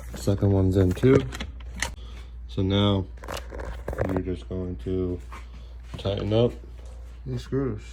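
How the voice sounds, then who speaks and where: The voice has a relaxed tone and long, frequent pauses. Noticeable background noise runs beneath it. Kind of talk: casual DIY tutorial talk. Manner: casual, relaxed.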